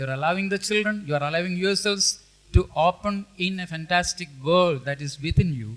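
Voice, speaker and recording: Here a man speaks with a high pitch. His pace is moderate and his pitch variation ordinary. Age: 70s. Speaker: professor. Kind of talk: panel discussion remarks. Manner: halting.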